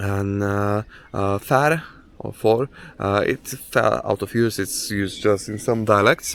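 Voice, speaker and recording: A man with a Polish accent speaks at a very slow pace. His pitch is fairly low, with ordinary pitch variation. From Poland. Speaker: hiking vlogger. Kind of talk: outdoor vlog narration. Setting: outdoors on a hike. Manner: halting, many fillers.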